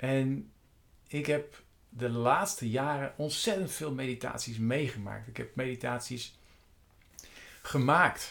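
A man speaks at a very slow pace and a medium pitch, with long, frequent pauses. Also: ordinary pitch variation. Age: 50s. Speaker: meditation coach. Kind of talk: monologue. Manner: halting.

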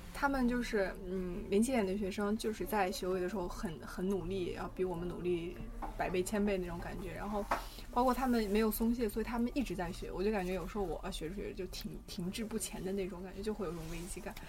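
A woman's medium-pitched voice at a fairly quick pace, with ordinary pitch variation and audible room echo. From China, Xi'an. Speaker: university student of Russian. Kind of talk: casual chat.

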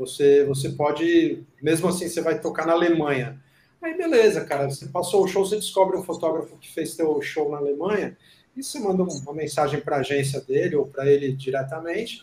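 A man talks in a plain, everyday voice at a fairly quick pace. His pitch is fairly high, with ordinary pitch variation. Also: big swings in loudness. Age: 50s. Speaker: concert photographer and show host. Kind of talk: casual chat.

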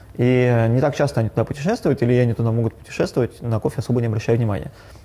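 Somewhat breathy and dark, mellow in tone, a man at a medium pitch speaks at a very fast pace. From Yekaterinburg, Russia. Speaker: coffee shop owner and barista trainer. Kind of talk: casual interview.

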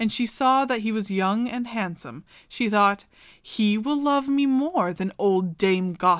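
In a natural voice, a speaker reads some text aloud.

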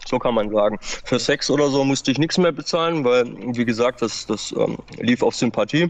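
The pitch of this man's voice varies in an ordinary way. Noticeable background noise runs throughout. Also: medium pitch for a man, moderate pace. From Baden-Württemberg, Germany. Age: 30s. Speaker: former meth user. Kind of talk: testimony. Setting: outdoors.

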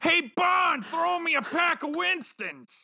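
An extremely high-pitched, put-on character voice delivered at a fairly slow pace.

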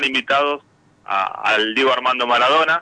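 A man talks with ordinary pitch variation. The sound is dry and close with no echo, though background noise is noticeable. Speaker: football club director. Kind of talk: radio interview.

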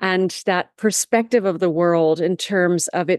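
A woman speaks in a normal speaking voice at a medium pitch, her intonation fairly even. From Canada. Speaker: tourism and development strategist, author. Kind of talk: interview conversation.

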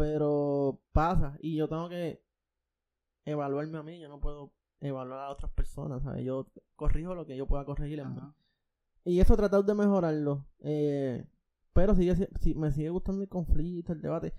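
A man's dark, mellow voice, fairly high-pitched, with fairly even intonation and big swings in loudness. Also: moderate pace. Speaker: podcast host. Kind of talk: casual chat. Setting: recording from home. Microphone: new podcast microphone.

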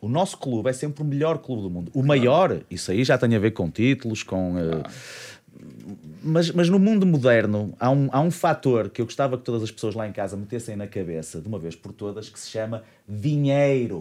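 A man with a dark, mellow tone speaks at medium pitch and a moderate pace. His pitch swings very widely and his loudness swings a lot. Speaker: podcast host. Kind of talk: casual chat. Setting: studio.

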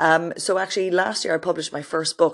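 A woman with an Irish accent talks at a very fast pace in a very deep, low voice. The background is quiet. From Ireland. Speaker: podcast host and author. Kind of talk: casual solo introduction. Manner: animated.

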